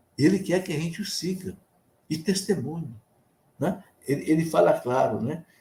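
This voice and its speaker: Vocal fry colors a man's fairly high voice, which has a dark, mellow tone. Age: 70s. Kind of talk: sermon. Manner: conversational.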